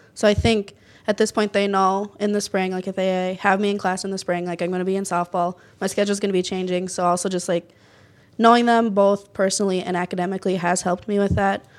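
Very fast and monotone with flat intonation, a woman speaks at a medium pitch. The recording is very clean, with a silent background. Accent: Minnesota. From northern Minnesota, near Duluth. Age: 20s. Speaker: college softball player. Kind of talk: interview.

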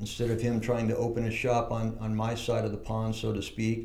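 A man with an American accent at a medium pitch, monotone and flat, at a fairly quick pace, with audible room echo and noticeable background noise. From San Diego, California. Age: 60s. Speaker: surf shop owner. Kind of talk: casual interview. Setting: shaping room with echo.

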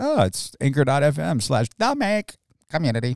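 In a put-on character voice, a man sounds nasal at fairly high pitch. His pace is fairly slow. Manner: mocking, dubbed-over.

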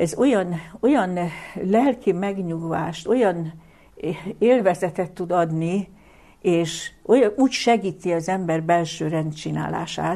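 Her voice dark and mellow, a woman speaks at a fairly low pitch and a very slow pace, with ordinary pitch variation and long, frequent pauses. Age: 70s. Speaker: lecturer on the Bible. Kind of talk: lecture. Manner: formal.

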